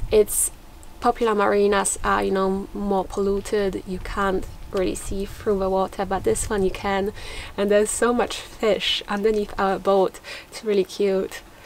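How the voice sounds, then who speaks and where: A woman speaks at a moderate pace with monotone, flat intonation. There is light background noise. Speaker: sailing vlogger. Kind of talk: casual vlog chat. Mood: relaxed, cheerful. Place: boat. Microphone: camera far.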